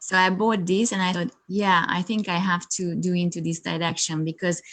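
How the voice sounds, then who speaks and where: A woman's fairly low voice with a Hungarian accent, monotone and flat in intonation, at a moderate pace. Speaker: yoga teacher and coach. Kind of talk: interview. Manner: halting, many fillers.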